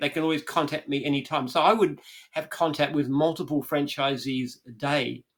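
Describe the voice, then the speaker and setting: Speaking at a very fast pace, a man uses a fairly high-pitched voice. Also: very clean recording, silent background. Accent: Australian. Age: 70s. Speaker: franchise business founder. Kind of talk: interview conversation.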